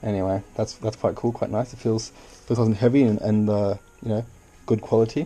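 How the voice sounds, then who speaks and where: Delivered at a fairly quick pace with fairly even intonation, the voice has a dark, mellow tone and a slight Australian accent. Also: man, medium pitch for a man. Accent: Australian, subtle. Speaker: YouTuber. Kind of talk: unboxing video. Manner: casual, playful; hesitant.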